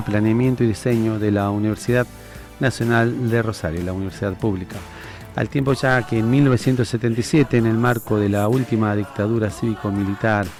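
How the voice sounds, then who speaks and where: A man speaks at a fairly quick pace in a medium pitch with fairly even intonation. Music plays in the background. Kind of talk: interview host questions.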